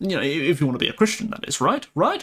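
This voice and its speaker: A man with an English accent and very wide pitch swings. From England. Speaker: live streamer. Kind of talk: casual live stream chat. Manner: halting, many repeated words.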